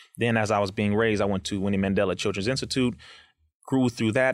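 An unremarkable speaking voice with an American accent holds fairly even intonation on a very clean recording with a silent background. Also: man. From Compton, California, US. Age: 30s. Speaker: activist and educator. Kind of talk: interview conversation.

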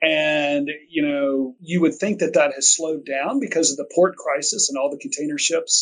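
With a plain, everyday voice, a man speaks at a fairly high pitch and a moderate pace, using ordinary pitch variation and hardly any pauses. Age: 50s. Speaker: logistics executive. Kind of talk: interview conversation.

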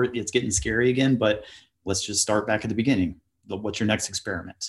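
Recorded very cleanly against a silent background, a man with a US Midwestern accent talks very fast at a fairly low pitch with fairly even intonation. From US Midwest, Ohio. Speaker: author and traveler. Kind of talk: podcast interview.

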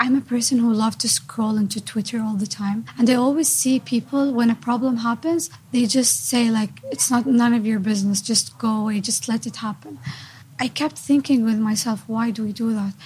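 A woman with fairly high pitch and ordinary pitch variation at a moderate pace, with noticeable background noise. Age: 20s. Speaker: university student. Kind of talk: interview.

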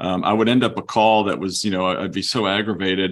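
A man talks fairly quickly in a very clean recording with a silent background. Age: 50s. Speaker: law firm chief executive. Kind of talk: interview. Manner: halting with fillers.

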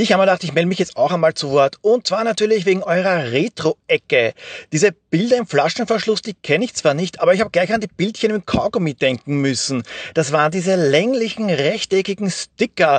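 A man's high voice with an Austrian accent, fairly quick and lively in intonation, in a dry, close sound with no echo. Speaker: podcaster and listener. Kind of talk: voice message.

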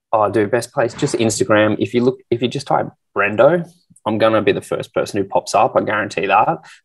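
A man at a fairly quick pace, with an Australian accent. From Australia, Canberra. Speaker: fitness entrepreneur and influencer. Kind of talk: casual interview.

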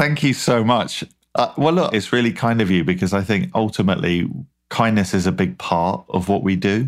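A man with a British accent speaks at a moderate pace, his fairly low voice swinging very widely in pitch. The loudness stays very even, and the recording is very clean with a silent background. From British Isles. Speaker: food company founder. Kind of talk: interview. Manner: charismatic.

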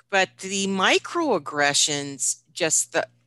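Her voice has a bright, sharp tone and an American accent. The woman is recorded against a quiet background. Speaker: nonprofit chief executive. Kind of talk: interview conversation.

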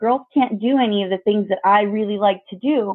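In an American accent, a woman speaks with a fairly high pitch and ordinary pitch variation. Hers is a normal speaking voice. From Mexican American community, US. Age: 30s. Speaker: mother. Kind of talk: interview.

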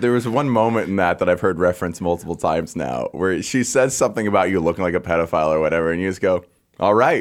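A man with a very deep, low pitch, ordinary pitch variation and a very fast pace, on a very clean recording with a silent background. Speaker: comedian. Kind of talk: casual chat. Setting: studio. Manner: loud.

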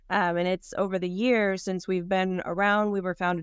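Over a quiet background, a woman with a plain, everyday voice talks at a medium pitch and a fairly quick pace, the sound dry and close with no echo. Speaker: foundation executive director. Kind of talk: casual interview. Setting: video call from art gallery office.

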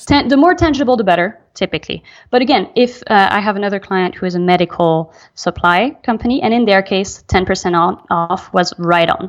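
Against a quiet background, a woman with a French accent talks at a moderate pace and a medium pitch. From Belgium. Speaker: email marketing specialist. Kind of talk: interview.

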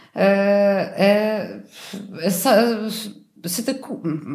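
In a Polish accent, a woman speaks at a very slow pace with ordinary pitch variation, and room echo is audible. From Poland, Warsaw. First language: Polish (speaking French). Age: 30s. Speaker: air traffic controller, language learner. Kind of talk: interview. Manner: halting, frequent repetitions.

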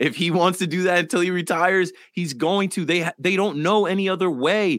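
On a very clean recording with a silent background, a man talks at a moderate pace. His pitch is high, with ordinary pitch variation. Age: 30s. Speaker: sports podcast co-host. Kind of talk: casual chat.

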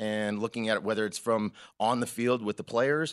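Against a quiet background, a man with a plain, everyday voice talks at a moderate pace and medium pitch, the sound dry and close with no echo. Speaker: sports bettor. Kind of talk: casual interview chat. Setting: studio.

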